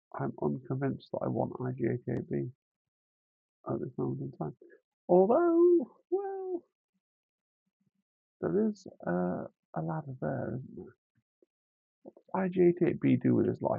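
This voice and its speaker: Using a put-on character voice, the speaker mumbles at a moderate pace with long, frequent pauses. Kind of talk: thinking aloud. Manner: mumbling, trailing off.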